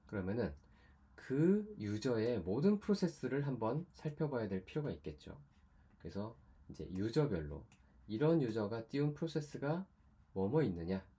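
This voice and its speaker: A man's somewhat breathy voice, medium in pitch, with a dark, mellow tone, very wide pitch swings and a moderate pace. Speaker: university lecturer. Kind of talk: lecture.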